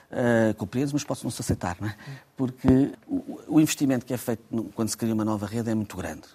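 Speaking with a European Portuguese accent, a man moves at a very fast pace with ordinary pitch variation. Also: medium pitch for a man. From Portugal. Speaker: transport company president. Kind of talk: radio interview. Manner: halting, frequent repetitions.

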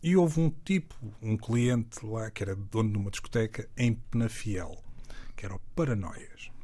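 Speaking at a moderate pace, a man with a medium pitch and a dark, mellow, somewhat breathy tone uses lively intonation. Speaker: music producer and DJ. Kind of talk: casual interview chat. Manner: halting, repeats words.

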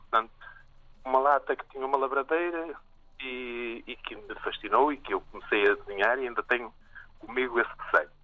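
Here a man speaks at a moderate pace. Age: 60s. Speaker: artist. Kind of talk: interview. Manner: halting.

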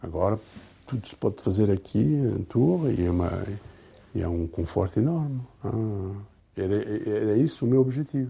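With long, frequent pauses at a moderate pace, a man speaks in a dark, mellow, somewhat breathy tone, fairly low in pitch with lively intonation. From Portugal, Alto Alentejo (Nisa), raised in France from age 7. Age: 60s. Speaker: honorary consul, retired lawyer. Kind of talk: interview. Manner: halting.

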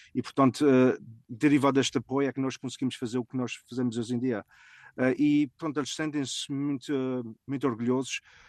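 At a fairly quick pace, the speech runs in a flat monotone over a quiet background, with dry, close sound and no echo. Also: man. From Azores, raised mainly in US (Fall River, Massachusetts) from age 10. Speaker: family food import business owner. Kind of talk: interview. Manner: halting.

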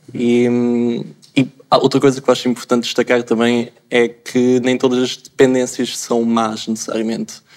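Monotone, flat intonation in a man's medium-pitched voice. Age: 20s. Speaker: pharmacy student. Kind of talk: panel discussion.

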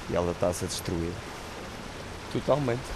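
A man speaks over noticeable background noise. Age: 30s. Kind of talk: testimony.

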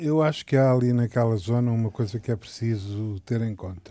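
A man at medium pitch and a fairly slow pace, with ordinary pitch variation and noticeable background noise. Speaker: political commentator. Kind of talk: casual political debate. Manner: halting, hesitant.

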